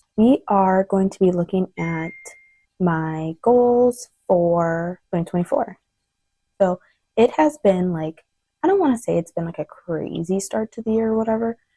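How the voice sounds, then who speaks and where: Soft-spoken and fairly slow, a woman talks at a medium pitch in a dark, mellow tone with ordinary pitch variation, the sound dry and close with no echo. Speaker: lifestyle vlogger. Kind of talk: casual chat. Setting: home, son napping.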